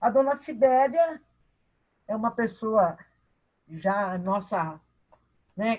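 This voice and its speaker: This woman's voice has lively intonation. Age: 60s. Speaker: participant in spiritist study class. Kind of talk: personal testimony in online class.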